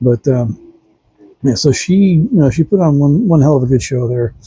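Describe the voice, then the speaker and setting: A man with a fairly high pitch and a dark, mellow tone sounds somewhat breathy. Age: 60s. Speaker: vlogger reviewing a concert. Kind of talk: casual monologue review. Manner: halting, many fillers.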